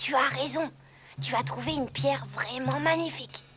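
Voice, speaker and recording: Quiet and very deep for a woman, her put-on character voice moves at a moderate pace over clear background noise. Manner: hushed, low-voiced.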